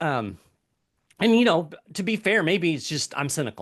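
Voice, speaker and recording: Against a quiet background, a man talks at a moderate pace with an American accent. His tone is bright and sharp, and his intonation is lively. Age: 50s. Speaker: economic commentator. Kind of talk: interview conversation. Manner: hesitant, with many fillers.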